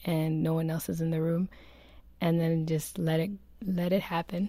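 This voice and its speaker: Moderately paced, a woman speaks at a fairly low pitch with a dark, mellow tone. Her intonation is fairly even, and the recording is very clean with a silent background. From Kenya. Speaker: roundtable guest. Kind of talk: casual chat.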